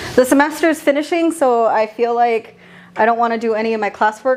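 There is noticeable background noise as a woman with an American accent speaks with lively intonation. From San Jose, California (east side). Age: 30s. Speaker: visual artist. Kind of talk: casual interview. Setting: art studio. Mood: relaxed, candid, self-deprecating humor. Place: workshop.

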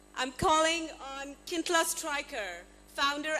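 The voice is raised and projected, with ordinary pitch variation. There is noticeable background noise. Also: woman. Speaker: event emcee. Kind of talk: formal introductions. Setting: stage with audience.

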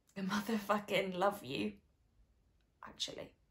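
A woman at a fairly slow pace, with ordinary pitch variation and a quiet background. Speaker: actor in showreel scene. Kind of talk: scripted dramatic scene dialogue. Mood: awkward, then emotional confession. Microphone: phone near.

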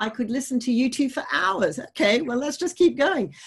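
Somewhat breathy, a woman's voice swings very widely in pitch over a quiet background. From grew up outside Australia. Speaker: writer and event facilitator; event facilitator. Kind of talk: moderated author interview. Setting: online video event. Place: home room. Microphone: video call.

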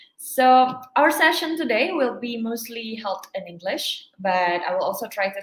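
Audible room echo around a woman speaking. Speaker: event host. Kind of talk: webinar host introduction. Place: home room. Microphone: webcam.

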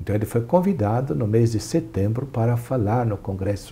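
A man speaks at a moderate pace with ordinary pitch variation. His voice is somewhat breathy, with a dark, mellow tone. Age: 60s. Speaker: archbishop; interviewee. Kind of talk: interview; interview answer. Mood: relaxed, smiling, animated. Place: studio. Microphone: lapel.

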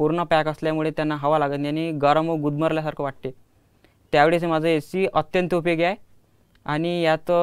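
A man speaks in a fairly high pitch with monotone, flat intonation. The background is quiet. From Ashti, Vidarbha, Maharashtra; Maharashtra. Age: 20s. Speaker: student inventor; guest. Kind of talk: interview. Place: studio. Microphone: lapel.

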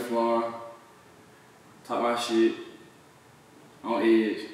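Strong room echo surrounds a man who speaks at a very slow pace. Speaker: rapper being interviewed. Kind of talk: casual slang, profanity. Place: home room.

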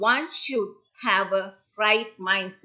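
A woman with a bright, sharp tone speaks over a quiet background. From Sri Lanka. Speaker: senior lecturer. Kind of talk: conference presentation. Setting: video call. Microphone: video call.

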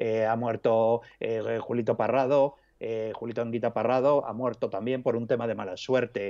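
A man speaks at a moderate pace in a monotone, flat way with a dark, mellow tone over light background noise. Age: 50s. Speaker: journalist and author; journalist. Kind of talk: interview. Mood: reflective, conversational. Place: home room. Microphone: earbuds.

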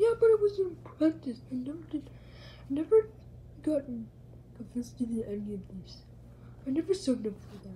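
Against clear background noise, a woman performs a put-on character voice at a moderate pace. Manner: gleeful, scatterbrained.

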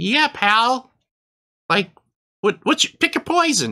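A put-on character voice comes out squeaky and fairly high in pitch.

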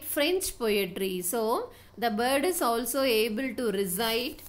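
In a Tamil accent, a woman with a high voice speaks very slowly and with lively intonation amid audible room echo. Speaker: English teacher. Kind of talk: lecture.

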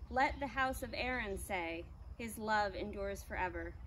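A woman talks at a moderate pace while light noise sits in the background. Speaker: church service leader. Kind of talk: church announcements. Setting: outdoors. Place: garden.

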